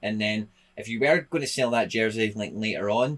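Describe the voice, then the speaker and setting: This man has a Scottish accent and a fairly low pitch. He talks at a very fast pace. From Scotland. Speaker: football content creator; YouTuber reviewing an NFT site. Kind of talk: casual video commentary. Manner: casual, hesitant with fillers.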